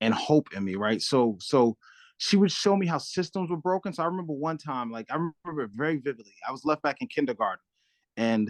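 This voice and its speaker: In a New York accent, a man talks at a fairly quick pace with a fairly high pitch and very wide pitch swings. The sound is dry and close with no echo, over a quiet background. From Brooklyn, New York (Crown Heights). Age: 40s. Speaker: community nonprofit director. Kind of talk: interview.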